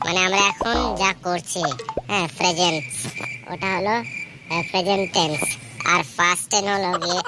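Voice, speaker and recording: In a cartoonish character voice, a woman speaks at a moderate pace with a fairly low pitch over clear background noise. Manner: scolding, bossy.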